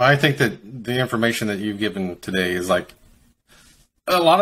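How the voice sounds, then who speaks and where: The speaker has a slight Kentucky accent. The recording is very clean, with a silent background. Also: man. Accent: faint Kentucky. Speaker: podcast host. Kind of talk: interview. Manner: halting.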